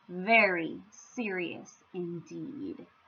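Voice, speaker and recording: A put-on character voice growls through very wide pitch swings. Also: woman, medium pitch for a woman. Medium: read story. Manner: gloomy.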